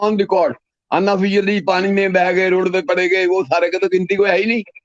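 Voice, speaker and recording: A man talks in a high pitch. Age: 70s. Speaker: anti-corruption activist. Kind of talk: interview.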